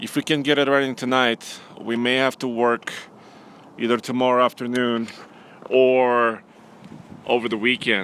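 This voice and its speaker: A man's medium-pitched voice with a Russian accent, monotone and flat, at a moderate pace with long, frequent pauses. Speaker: automotive journalist and producer. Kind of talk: live stream casual chat.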